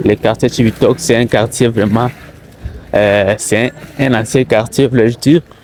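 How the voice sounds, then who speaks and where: A man talks at a medium pitch with fairly even intonation. His pace is very slow, and background noise is noticeable. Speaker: taxi driver and vlogger. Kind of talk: walking vlog commentary. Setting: outdoors, walking in streets. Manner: halting, many fillers.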